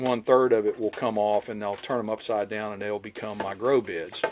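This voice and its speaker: A man with a fairly low pitch. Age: 60s. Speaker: homesteader vlogger. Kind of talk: outdoor tutorial walkthrough. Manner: casual, hesitant with fillers.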